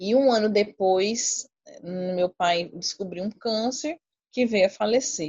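Somewhat breathy, a woman talks at a very slow pace with a medium pitch and ordinary pitch variation. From Brazil, Cuiabá, Mato Grosso. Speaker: infectious disease doctor. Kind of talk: casual chat.

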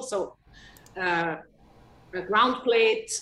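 A woman with a German accent speaks at a fairly slow pace. Her voice sits at a medium pitch with ordinary pitch variation. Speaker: watch company sales executive. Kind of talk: casual interview. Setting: remote video call. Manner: halting, many repetitions and fillers.

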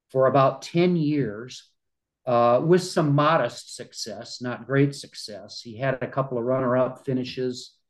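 A man at a fairly slow pace, with medium pitch and fairly even intonation. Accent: Midwestern American. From US Midwest, small-town Iowa. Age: 60s. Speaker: retired journalist and amateur golfer. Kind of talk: interview conversation.

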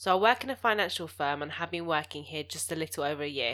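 On a very clean recording with a silent background, a woman with a bright, sharp tone and fairly low pitch speaks at a fairly quick pace. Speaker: podcast co-host. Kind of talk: casual chat, advice podcast. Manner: fast talker.

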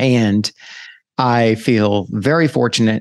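Against a quiet background, a man with an ordinary speaking voice talks at a fairly slow pace. His pitch is medium, his intonation fairly even, and the sound dry and close with no echo. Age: 50s. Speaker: podcast host. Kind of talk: solo reflective monologue. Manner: casual with frequent fillers.

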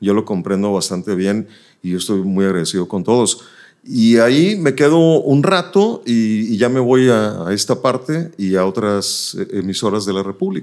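With a plain, everyday voice, a man talks at a moderate pace in a fairly low pitch with lively intonation. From northern Mexico, Nuevo Laredo (border). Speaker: radio announcer. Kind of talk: casual interview.

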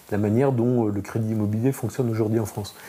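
Somewhat breathy, a man's voice sits at medium pitch with a dark, mellow tone. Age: 40s. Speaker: insurance startup founder. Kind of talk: interview.

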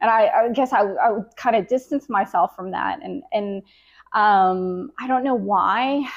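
A woman's ordinary speaking voice with an American accent, fairly high in pitch, fairly slow, with lively intonation and big swings in loudness. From Jacksonville, Florida, US South. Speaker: photographer. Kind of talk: interview.

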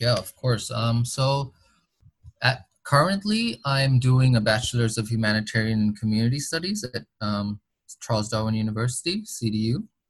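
A man speaks with an American accent at medium pitch. His voice is somewhat breathy. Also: ordinary pitch variation, moderate pace. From Boston, Massachusetts, US. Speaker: international student ambassador. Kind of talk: interview.

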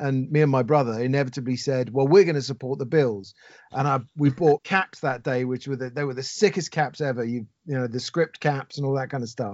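Speaking in a London accent at a fairly quick pace, a man uses a medium pitch with ordinary pitch variation. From London, England. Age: 40s. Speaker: expat sports fan. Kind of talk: podcast interview. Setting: phone call.

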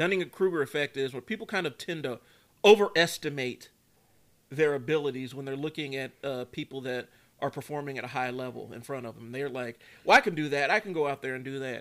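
On a very clean recording with a silent background, a man speaks at a fairly quick pace with a fairly high pitch, ordinary pitch variation and big swings in loudness. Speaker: youth basketball coach and podcast host. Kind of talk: casual chat. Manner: animated.

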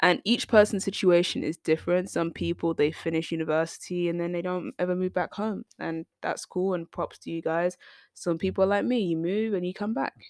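A British accent, dry and close with no echo, in a very clean recording with a silent background. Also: woman, fairly low pitch for a woman, ordinary pitch variation, fairly quick pace. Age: 20s. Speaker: podcast host. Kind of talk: casual monologue.

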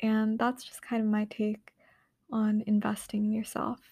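Very slow and somewhat breathy, a woman speaks at a fairly high pitch with a dark, mellow tone, in a very clean, dry, close recording with a silent background and no echo. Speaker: podcast host. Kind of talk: solo monologue podcast. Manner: hesitant, many fillers.

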